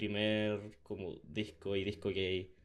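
A man speaks with a Chilean accent. His intonation stays fairly even. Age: 20s. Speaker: podcast host. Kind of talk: casual chat.

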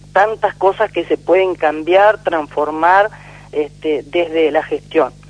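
Words come out very slowly. Background noise is clearly audible. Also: woman. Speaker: politician. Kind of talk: radio interview. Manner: hesitant, many fillers.

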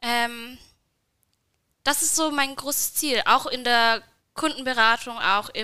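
High pitch from a woman, fairly even in intonation. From Bavarian Swabia, Nördlingen. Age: 20s. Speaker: working student at an agency. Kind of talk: casual interview.

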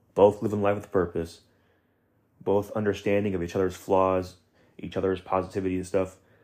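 A man talks at a fairly quick pace in a very deep, low, monotone, flat voice. Long, frequent pauses break up his speech. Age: 20s. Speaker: podcast host, college student. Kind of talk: motivational monologue. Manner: casual, filler-heavy.

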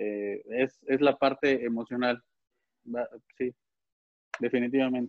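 A man at a medium pitch, fairly slow pace, with monotone, flat intonation and long, frequent pauses. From Puebla, Mexico. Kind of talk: casual chat.

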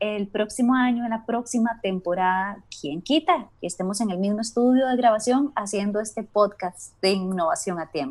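A woman with a normal speaking voice talks at a moderate pace with hardly any pauses. Her pitch is fairly high and her intonation lively. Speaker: podcast host. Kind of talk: casual chat. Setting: remote recording from home.

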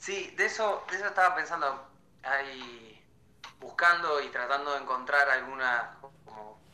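A fairly slow delivery in a Rioplatense accent. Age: 20s. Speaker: film student. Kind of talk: casual chat.

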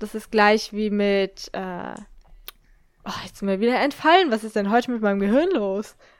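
A woman is speaking with a fairly high voice. Noticeable noise fills the background. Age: 20s. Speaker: podcast co-host. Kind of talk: casual chat.

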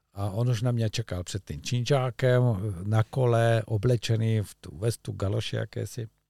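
Recorded very cleanly against a silent background, the sound is dry and close with no echo. A man talks at a moderate pace with a medium pitch and a dark, mellow tone. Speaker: fly fishing coach. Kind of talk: casual chat. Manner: animated.

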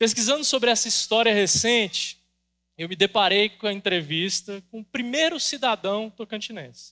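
Using a raised, projected voice, a man speaks at a high pitch and a moderate pace, his bright, sharp tone carrying lively intonation and big swings in loudness over a dry, close sound with no echo. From Brazil, Goiás. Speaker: pastor. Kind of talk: sermon.

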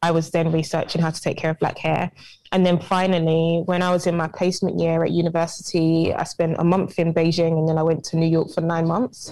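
At a fairly low pitch, a woman speaks in a monotone, flat intonation with very even loudness. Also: fairly quick pace. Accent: British. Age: 20s. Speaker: entrepreneur. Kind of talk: interview.

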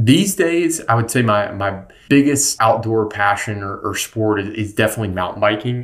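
A man speaks in a normal speaking voice at medium pitch and moderate pace, with ordinary pitch variation. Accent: American. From North Carolina. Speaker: sustainable apparel company founder. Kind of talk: interview. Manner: frequent repetitions and fillers.

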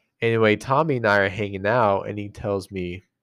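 A man with an American accent and a fairly low pitch uses ordinary pitch variation in an ordinary speaking voice against a quiet background. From rural Utah. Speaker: podcast co-host. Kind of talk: casual chat.

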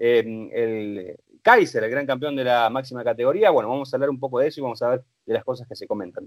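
A man talks at a fairly quick pace. The recording is dry and close, without any echo. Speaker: motorsport commentator. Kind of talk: casual chat.

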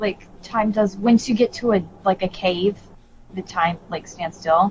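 A woman talks at a fairly slow pace, her voice somewhat breathy and her intonation fairly even. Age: 20s. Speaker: video game podcast co-host. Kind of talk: casual chat.

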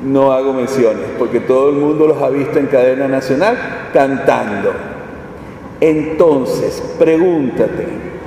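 Over noticeable background noise and audible room echo, a man speaks slowly-ish at a fairly high pitch, with ordinary pitch variation. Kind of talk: sermon.

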